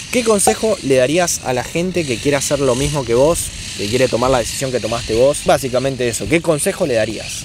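Lively intonation and a fairly quick pace mark this speaker with a Rioplatense accent, the sound dry with no echo but with noticeable background noise. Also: man. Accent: Argentine Rioplatense Spanish. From Argentina. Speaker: YouTuber interviewer. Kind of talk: interview. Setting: outdoors in a park. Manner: animated. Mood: relaxed, friendly. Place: forest.

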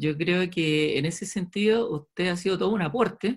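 Against a quiet background, a man speaks at a high pitch and a moderate pace. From Chile. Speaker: orthodontist, webinar host; webinar host. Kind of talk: announcements and introduction; webinar talk. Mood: serious, warm at end. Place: home room. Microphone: webcam.

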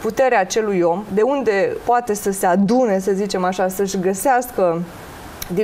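Moderate-paced woman's voice with light background noise. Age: 30s. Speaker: tarot and face-reading specialist; guest. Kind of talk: TV talk show interview. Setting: TV studio. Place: studio. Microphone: lapel.

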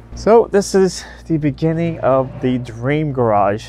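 A man's voice, dry with no echo. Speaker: car enthusiast vlogger. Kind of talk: casual vlog chat. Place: open country. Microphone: lapel.

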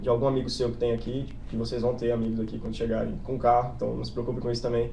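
A man with a Brazilian accent, talking at a very fast pace. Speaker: exchange student. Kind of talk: informational webinar.

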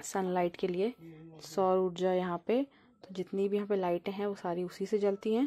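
A woman talks at a moderate pace with a dark, mellow tone. Her intonation is fairly even. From Uttarakhand, Pauri Garhwal; Uttarakhand. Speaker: vlogger. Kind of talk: travel vlog narration. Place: open country. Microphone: phone near.

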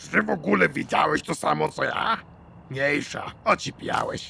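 In a raspy, put-on character voice, a man talks at a moderate pace. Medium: dub.

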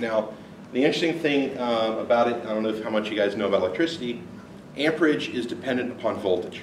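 Very fast speech is heard with audible room echo and light background noise. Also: man. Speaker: conference presenter. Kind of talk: technical talk. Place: meeting room. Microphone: camera far.

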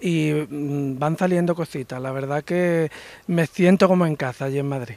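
A man with an Andalusian accent talks at a moderate pace and fairly high pitch with fairly even intonation, the sound dry with no echo. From Andalusia, Spain. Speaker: painter; interviewee. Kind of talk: interview. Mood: grateful, pleased. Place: cafe. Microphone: handheld.

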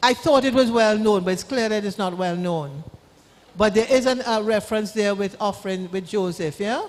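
Moderate pace and ordinary pitch variation against noticeable background noise. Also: woman, fairly high pitch for a woman. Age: 70s. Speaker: law-trained speaker on wills and trusts. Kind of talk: church town hall talk with Q&A.

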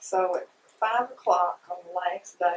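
A woman's fairly slow speech with a husky, rough edge.

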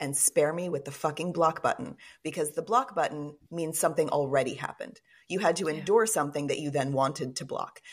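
Speaking at a fairly quick pace, a woman with an American accent has a very deep, low pitch. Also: ordinary pitch variation. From Texas, Fort Worth. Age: 40s. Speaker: author and podcaster. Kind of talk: casual interview.

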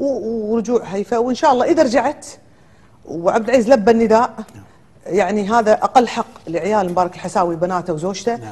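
This woman's voice sits fairly high, with lively intonation. She keeps a moderate pace. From Kuwait. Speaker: lawyer and businesswoman; lawyer. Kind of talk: TV talk show interview. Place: studio. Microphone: lapel.

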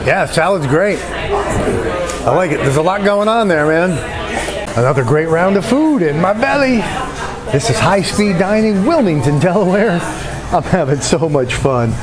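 Clear music sits in the background. A man speaks over it at a moderate pace. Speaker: food vlogger. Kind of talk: casual vlog chat. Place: cafe. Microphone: phone near.

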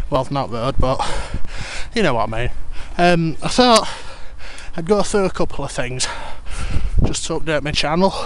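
At a moderate pace with long, frequent pauses, the voice sounds dry with no echo against noticeable background noise. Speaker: cyclist. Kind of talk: casual talk to camera while cycling. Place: bicycle. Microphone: helmet.

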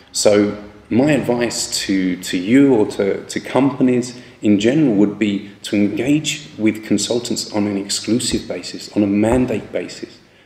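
A man speaks at a fairly low pitch, with audible echo from the room. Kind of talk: advice talk to camera. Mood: calm, earnest. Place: office. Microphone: phone near.

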